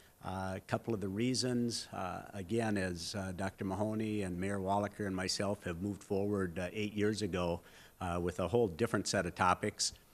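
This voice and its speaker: Fairly low-pitched man with an Upper Midwest accent, moderate pace and fairly even intonation, on a very clean recording with a silent background. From North Dakota, Fargo. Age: 60s. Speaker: mayoral candidate. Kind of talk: candidate forum speech. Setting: public forum with audience, televised.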